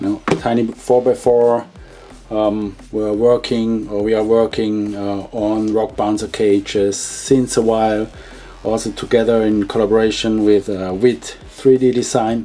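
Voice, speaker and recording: Music plays in the background as the speech moves at a fairly slow pace with monotone, flat intonation. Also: man. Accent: non-native. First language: not English. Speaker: hobby shop owner and video host. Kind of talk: product unboxing. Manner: halting with many fillers.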